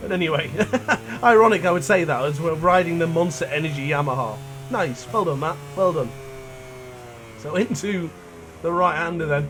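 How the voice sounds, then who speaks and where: Long, frequent pauses break up speech at a moderate pace with ordinary pitch variation. Room echo can be heard. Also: man, fairly high pitch for a man. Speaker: gaming YouTuber. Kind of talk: gameplay commentary. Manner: talkative, chatty.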